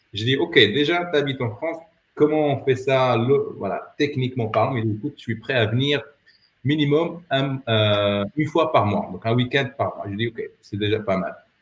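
The voice is somewhat breathy with ordinary pitch variation. It moves at a moderate pace. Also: man, medium pitch for a man. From Morocco, Rabat. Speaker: entrepreneur and former dating coach. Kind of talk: casual interview. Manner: halting.

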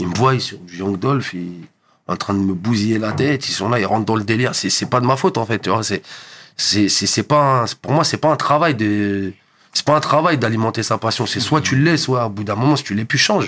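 Ordinary variation shapes the pitch. The delivery runs fairly quick. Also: man, medium pitch for a man. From Paris suburbs, France (Montreuil, then Val-d'Oise). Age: 30s. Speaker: DJ and hip hop producer. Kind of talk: casual interview. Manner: halting, repeats words; calm, composed.

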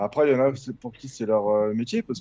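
A man's medium-pitched voice with a dark, mellow tone, dry and close with no echo. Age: 30s. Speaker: gaming site contributor. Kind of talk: casual chat.

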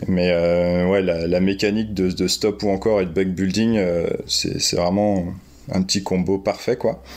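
A man's very deep, low voice, fairly slow and monotone, with flat intonation and very even loudness. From France. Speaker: graffiti artist and board game fan. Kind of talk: casual interview chat.

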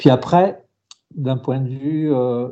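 A man talks at a medium pitch with ordinary pitch variation, at a fairly slow pace. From central France. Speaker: race organizer and sports journalist. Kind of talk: interview. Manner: halting, with frequent repetitions.

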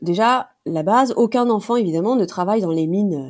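This very clean recording has a silent background. A woman of medium pitch talks at a moderate pace with lively intonation and a dark, mellow tone. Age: 40s. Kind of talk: interview. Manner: hesitant, many fillers.

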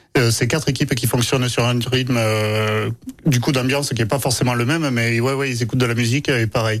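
A man at medium pitch, fairly quick and flat in a monotone, on a very clean recording with a silent background. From Aveyron, France. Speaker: baker and bakery owner. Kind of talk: casual radio interview. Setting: radio studio.

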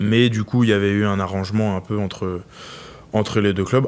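A man speaks in a fairly low pitch with monotone, flat intonation. His pace is moderate. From France, Loire region. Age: 20s. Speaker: professional rugby player. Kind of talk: interview.

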